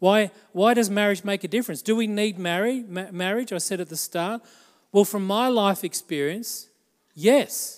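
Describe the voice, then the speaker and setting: On a very clean recording with a silent background, a man with an Australian accent talks in a high pitch with an animated tone and ordinary pitch variation. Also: moderate pace. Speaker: pastor. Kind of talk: sermon. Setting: church.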